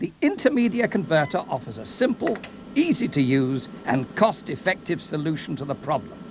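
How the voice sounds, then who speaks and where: A fairly high-pitched man with very wide pitch swings over noticeable background noise. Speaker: voice-over artist. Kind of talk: corporate promotional narration. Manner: wry, humorous storytelling.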